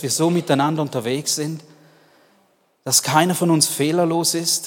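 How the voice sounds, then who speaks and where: A man's high-pitched voice, animated and warm in tone, at a moderate pace. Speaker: preacher. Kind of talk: sermon. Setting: church. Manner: animated, warm, earnest; direct, addressing listener as du.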